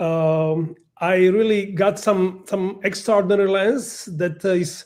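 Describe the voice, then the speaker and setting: A man with a non-native accent speaks at a high pitch, his intonation fairly even. The recording is very clean, with a silent background. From Slovakia. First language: Slovak. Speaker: professional photographer. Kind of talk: presentation. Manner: halting.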